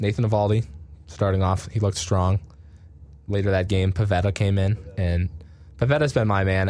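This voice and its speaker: At a fairly quick pace, a man with an American accent speaks in a fairly low pitch with a dark, mellow tone. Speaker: sports radio podcast host. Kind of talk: casual sports chat.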